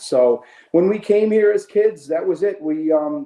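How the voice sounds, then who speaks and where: A man's dark, mellow tone with very wide pitch swings. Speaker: apparel company CEO. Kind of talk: podcast interview. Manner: halting, many repeated words.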